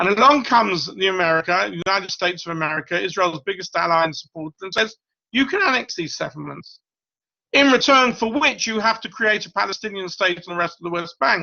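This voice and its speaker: This man has a high voice and lively intonation. He talks at a very fast pace. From Britain. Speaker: professor. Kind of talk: lecture.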